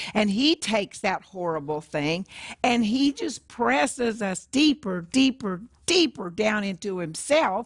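A somewhat breathy woman at a fairly slow pace, her pitch swinging very widely. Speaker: co-host, trained opera singer. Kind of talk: group discussion. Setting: studio.

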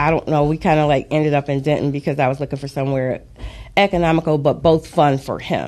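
A woman's very deep, low voice with vocal fry, a dark, mellow tone, fairly even intonation and an American accent. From Detroit, Michigan. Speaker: author and financial advisor. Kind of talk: interview. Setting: studio.

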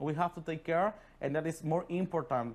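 Someone with a Spanish accent speaks at a fairly quick pace on a very clean recording with a silent background. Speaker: immigrant bar worker and interpreter. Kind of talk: interview. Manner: halting.

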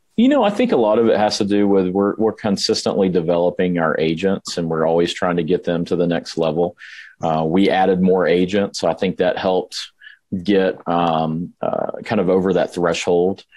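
Very deep and low in pitch, a man talks at a moderate pace with a Southern US accent. His intonation is monotone and flat, and his loudness stays very even. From Alabama. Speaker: real estate team leader. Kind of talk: podcast interview.

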